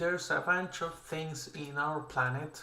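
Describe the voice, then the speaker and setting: A man speaks with a non-native accent and ordinary pitch variation. Room echo is audible around his voice. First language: not English. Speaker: artist streaming creature design. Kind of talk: casual livestream commentary while drawing. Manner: casual, with fillers and self-corrections.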